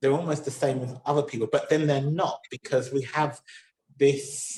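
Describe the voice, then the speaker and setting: Somewhat breathy, a man with a southern English accent speaks at a fairly high pitch and with fairly even intonation. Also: moderate pace. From southern England, Somerset. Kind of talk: interview. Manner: halting.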